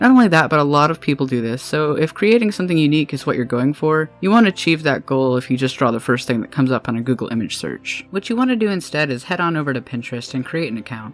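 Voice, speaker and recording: With hardly any pauses, the speaker rushes along at a very fast pace while music plays in the background. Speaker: freelance artist. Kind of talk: art tutorial narration.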